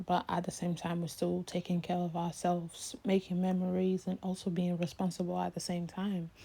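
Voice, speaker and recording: A woman with an American accent speaks at a moderate pace with hardly any pauses, her somewhat breathy, dark, mellow tone held in a monotone, flat intonation on a very clean recording with a silent background. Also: fairly low pitch for a woman. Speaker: YouTuber. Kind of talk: casual Q&A vlog.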